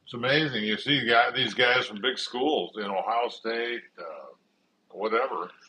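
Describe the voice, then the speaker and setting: With a Midwestern US accent, a man of medium pitch talks at a moderate pace with ordinary pitch variation. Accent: US Midwest. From Nebraska. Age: 70s. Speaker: retired pro football player. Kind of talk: family interview. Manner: halting.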